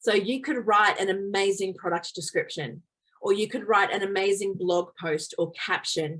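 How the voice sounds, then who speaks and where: A woman's normal speaking voice at a medium pitch, moderate pace and ordinary pitch variation. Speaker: photographer giving a workshop. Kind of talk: online workshop presentation.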